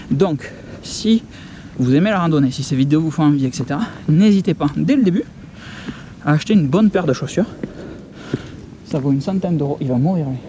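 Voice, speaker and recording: A man talks fairly quickly at a fairly high pitch, his pitch varying in an ordinary way, with noticeable background noise present. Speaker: hiking vlogger. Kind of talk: outdoor vlog narration. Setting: outdoors on mountain trail. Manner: casual, interjection-filled; soft-spoken.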